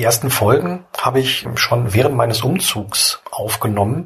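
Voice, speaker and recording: A man at a moderate pace with lively intonation. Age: 30s. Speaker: podcaster and blogger. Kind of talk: solo podcast monologue. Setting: at home lying in bed. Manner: relaxed, casual.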